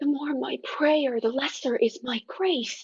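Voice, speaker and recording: A woman uses a put-on character voice at a high pitch. She talks at a fairly slow pace with lively intonation. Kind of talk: Shakespearean verse.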